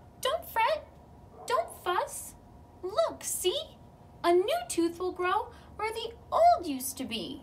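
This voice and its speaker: A woman's put-on character voice, squeaky and extremely high, fairly slow with long, frequent pauses over light background noise. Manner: comforting.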